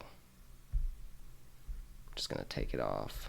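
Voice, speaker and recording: Someone mumbles amid audible room echo. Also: man. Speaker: Linux tech YouTuber. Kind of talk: screen-recorded tutorial. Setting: home desk, late night. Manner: mumbling; casual. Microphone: quiet, mic not close to face.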